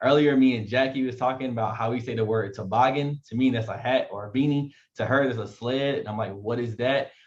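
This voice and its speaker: This man talks at a fairly quick pace in an American accent, his voice medium in pitch, somewhat breathy, and fairly even in intonation. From eastern North Carolina. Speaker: event host. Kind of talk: event introduction. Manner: fast.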